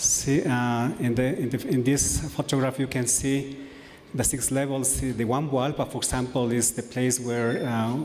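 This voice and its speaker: Over noticeable background noise and audible room echo, a man with an Ecuadorian accent speaks at a moderate pace in a monotone, flat intonation, with a medium pitch and very even loudness. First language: Kichwa or Spanish. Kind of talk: conference presentation. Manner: halting, many fillers.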